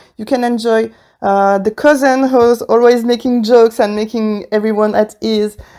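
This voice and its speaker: A woman with a strong French accent speaks at a moderate pace in a fairly high pitch and a dark, mellow tone, her intonation monotone and flat, on a very clean recording with a silent background. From France. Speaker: wedding podcaster. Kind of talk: casual podcast monologue. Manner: hesitant, many fillers.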